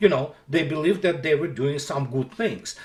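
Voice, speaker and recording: A man with a Russian accent speaks with ordinary pitch variation. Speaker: military analyst blogger. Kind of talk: political commentary monologue. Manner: halting.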